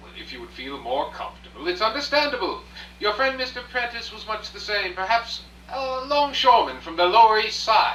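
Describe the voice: A man's put-on character voice, high-pitched, bright and sharp, with big pitch swings, a fairly quick pace, few pauses, and audible room echo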